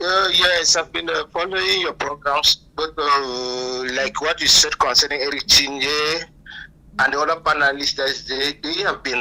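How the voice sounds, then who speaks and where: With a Cameroonian accent, a man speaks at fairly high pitch and a moderate pace, with ordinary pitch variation and noticeable background noise. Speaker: caller. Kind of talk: phone call-in.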